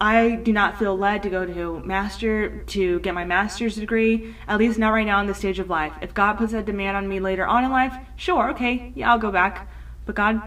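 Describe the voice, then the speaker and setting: A woman talks at a moderate pace and medium pitch. Her intonation is fairly even, and there is audible room echo. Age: 20s. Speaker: podcast host. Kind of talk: solo personal monologue. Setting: home recording at computer. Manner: earnest, with frequent fillers.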